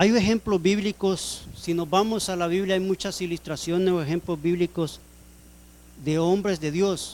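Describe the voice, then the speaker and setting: A man's high voice with fairly even intonation at a fairly slow pace. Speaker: preacher. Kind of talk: sermon.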